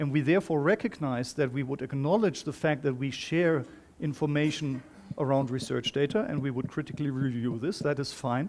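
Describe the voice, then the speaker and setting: This man has a non-native accent and ordinary pitch variation. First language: not English. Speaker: workshop moderator. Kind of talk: facilitated group discussion.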